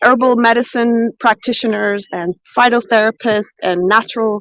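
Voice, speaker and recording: A woman with an American accent and ordinary pitch variation, in a dry, close sound with no echo. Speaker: cooking and foraging livestreamer. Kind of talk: live stream chat. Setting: outdoors. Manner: loud; animated.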